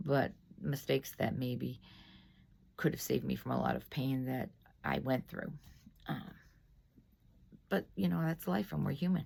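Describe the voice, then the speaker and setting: A woman speaking at a moderate pace. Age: 60s. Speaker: lay faith video host. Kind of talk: casual reflection after scripture reading. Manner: hesitant, many fillers.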